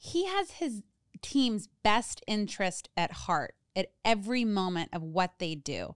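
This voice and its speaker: Her pitch sits at a medium level as this woman speaks with lively intonation in a normal speaking voice. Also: fairly slow pace. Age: 30s. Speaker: podcast co-host, recovery coach. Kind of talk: casual chat.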